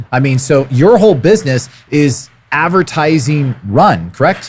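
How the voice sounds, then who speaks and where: An animated, somewhat breathy man with lively intonation and an American accent. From California. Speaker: podcast host, real estate coach. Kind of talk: podcast interview. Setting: conference venue. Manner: casual, animated.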